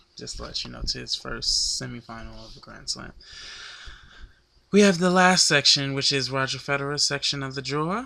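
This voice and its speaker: A man's moderate-paced speech comes through with noticeable background noise behind it. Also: long, frequent pauses, big swings in loudness. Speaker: tennis vlogger. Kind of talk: sports analysis monologue. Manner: halting.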